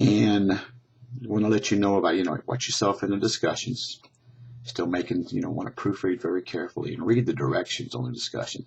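This man's fairly low, somewhat breathy voice moves at a fairly quick pace with ordinary pitch variation. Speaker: college English instructor. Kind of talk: class update video. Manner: casual, conversational.

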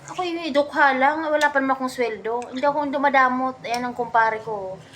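A woman at a fairly quick pace in an animated tone with ordinary pitch variation, against noticeable background noise. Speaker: vlogger. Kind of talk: casual chat over drinks.

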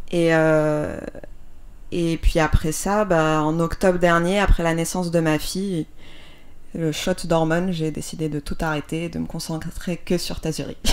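A woman talks at a fairly slow pace in a fairly low pitch, her intonation monotone and flat. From Algeria, Algiers. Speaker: designer and brand founder. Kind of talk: interview. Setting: home workshop.

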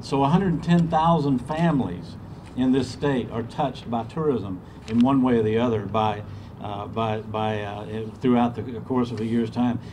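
A man speaks at a fairly slow pace with a Southern US accent and ordinary pitch variation. Light background noise sits behind him. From US South, Georgia. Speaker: state tourism official. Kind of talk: ceremony speech. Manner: halting, repeats words. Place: street. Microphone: podium.

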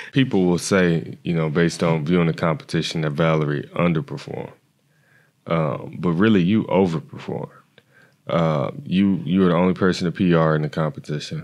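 Over a quiet background, a man with a very deep, low pitch speaks at a fairly quick pace with ordinary pitch variation. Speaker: podcast co-host, former track athlete. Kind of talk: casual interview. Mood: admiring, warm. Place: studio. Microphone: studio mic.

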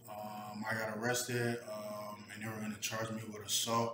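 A man with an American accent at a moderate pace, amid noticeable background noise. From New Jersey, US. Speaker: vlogger. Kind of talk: personal vlog monologue. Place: kitchen. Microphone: webcam.

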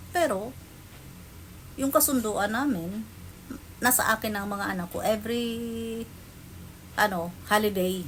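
A woman's fairly high, somewhat breathy voice at a fairly slow pace, with ordinary pitch variation and long, frequent pauses. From Philippines. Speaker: vlogger. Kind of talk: personal storytelling.

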